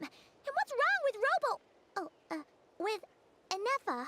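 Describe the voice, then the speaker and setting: A woman puts on a squeaky character voice at an extremely high pitch, with very wide pitch swings. She goes at a fairly slow pace, and the sound is dry and close with no echo. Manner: hesitant, self-correcting.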